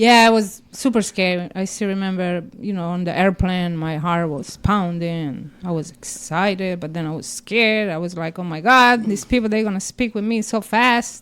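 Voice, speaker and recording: With an Italian accent, a woman talks at a moderate pace and a medium pitch, with ordinary pitch variation. She leaves hardly any pauses. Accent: Italian accent, noticeable. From Italy. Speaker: comedian. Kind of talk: casual chat.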